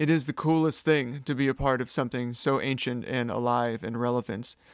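With a Californian accent, a man speaks at a moderate pace and medium pitch with fairly even intonation, in a very clean recording with a silent background and dry, close sound with no echo. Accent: General American (Californian). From California, US. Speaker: podcast host. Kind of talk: solo podcast monologue. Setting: alone in a room. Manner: slightly awkward, with pauses and ums.

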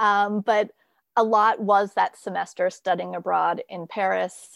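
A woman with a normal speaking voice and a General American accent speaks at a medium pitch, with a dry, close sound with no echo and a quiet background. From US, moved around (Virginia, Minnesota, Kansas, Idaho). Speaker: creativity coach and blogger. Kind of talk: interview conversation. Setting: remote call from home.

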